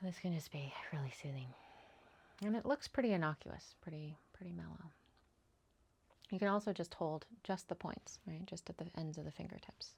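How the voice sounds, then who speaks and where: A woman's somewhat breathy, calm, gentle voice with ordinary pitch variation at a moderate pace, with long, frequent pauses. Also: fairly low pitch for a woman. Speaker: EFT tapping coach. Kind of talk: tutorial; guided tapping session.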